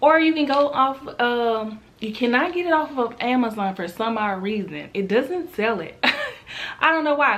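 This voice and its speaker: Animated in tone, a woman talks at a moderate pace in a high pitch. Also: lively intonation. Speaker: lifestyle vlogger. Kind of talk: casual vlog talk.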